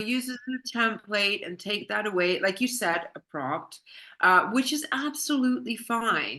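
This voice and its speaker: A woman's bright, sharp tone at a fairly high pitch, with lively intonation and a moderate pace. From Canada. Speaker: business consultant and intellectual property specialist. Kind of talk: podcast interview answer.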